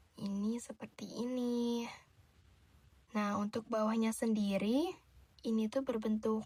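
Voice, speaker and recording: A soft-spoken woman talks at a fairly slow pace with a fairly high pitch. Her intonation is monotone and flat. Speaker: shop tailor / dressmaker character helping a customer. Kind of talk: ASMR roleplay as a tailor talking to the viewer. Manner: soft-spoken, gentle.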